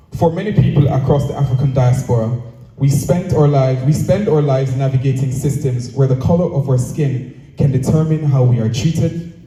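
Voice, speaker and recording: A man talks at a fairly quick pace with hardly any pauses, at a fairly high pitch and with fairly even intonation. Noticeable background noise and audible room echo are present. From Jamaica. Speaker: speaker at cultural event. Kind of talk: prepared speech. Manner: formal.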